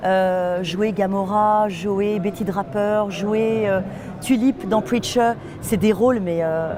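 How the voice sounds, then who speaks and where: Noticeable background noise sits behind a woman who speaks at a very slow pace and medium pitch with fairly even intonation. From France, Nantes. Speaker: voice actress. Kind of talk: interview. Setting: festival.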